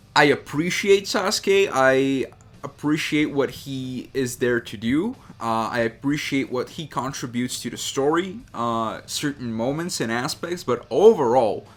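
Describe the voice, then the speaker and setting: Speaking at a fairly slow pace, a man with a non-native accent and a fairly high voice uses lively intonation and big shifts in loudness. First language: not English. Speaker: drawing YouTuber. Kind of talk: unscripted casual talk while drawing. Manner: hesitant, many fillers.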